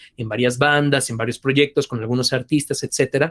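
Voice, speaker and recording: A man's medium-pitched voice with fairly even intonation, dry and close with no echo. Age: 30s. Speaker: voice actor and singer. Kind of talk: interview.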